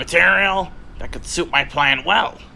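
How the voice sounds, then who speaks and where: A man puts on a smug character voice at a moderate pace, with clear background noise behind him. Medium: machinima. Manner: smug, commanding.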